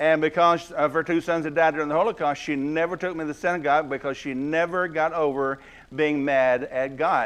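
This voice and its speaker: This man has a Southern US accent. His pitch is fairly high. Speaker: guest preacher. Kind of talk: sermon. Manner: fast.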